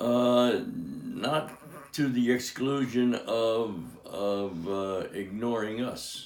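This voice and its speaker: Very slow, medium-pitched speech from a man with ordinary pitch variation, audible room echo, and noticeable background noise. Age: 80s+. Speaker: father of the host, atheist. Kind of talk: interview. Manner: halting.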